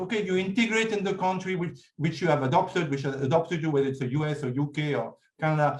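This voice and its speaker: Talking at a very fast pace, a man with a French accent has lively intonation. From France. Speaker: writer and speaker on India. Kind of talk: talk with audience Q&A. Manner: hesitant, many fillers.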